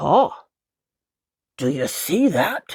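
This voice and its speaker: The voice is a put-on character voice with a raspy sound. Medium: read story. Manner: sly.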